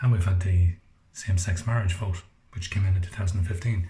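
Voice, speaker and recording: A quiet man with an Irish accent, very deep and low in pitch, somewhat breathy, dark and mellow in tone, fairly even in intonation, at a fairly quick pace. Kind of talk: casual monologue to camera. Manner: quiet, low voice.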